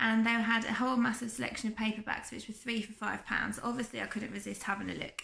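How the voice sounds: With vocal fry and a croaky edge, a woman talks at a fairly quick pace, her pitch fairly high and her tone fairly bright.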